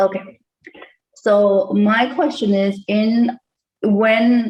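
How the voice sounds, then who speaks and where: Ordinary pitch variation in a somewhat breathy delivery. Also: woman, fairly high pitch for a woman. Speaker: call participant. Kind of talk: casual chat. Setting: video call. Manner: fast. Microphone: too quiet at first.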